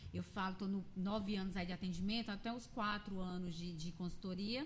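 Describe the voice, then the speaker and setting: A woman talks with a medium pitch, ordinary pitch variation and a moderate pace. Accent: Pernambuco. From Pernambuco, Brazil. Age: 40s. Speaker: image consultant and speaker. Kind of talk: interview chat. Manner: animated.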